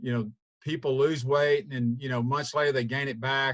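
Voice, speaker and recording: In a Southern US accent, a man speaks at a moderate pace with a fairly high pitch and a somewhat breathy voice. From US South. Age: 60s. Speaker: weight-loss program member. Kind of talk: testimony. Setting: video call. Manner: halting.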